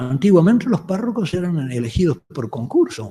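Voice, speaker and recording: A man with a dark, mellow tone speaks at a moderate pace, his pitch swinging very widely. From Uruguay, Montevideo. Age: 70s. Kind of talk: lecture. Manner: halting, with false starts.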